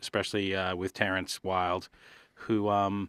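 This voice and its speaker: A man with an Australian accent speaks at a fairly low pitch and a moderate pace. The sound is dry and close with no echo, on a very clean recording with a silent background. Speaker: music producer and songwriter. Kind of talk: casual chat.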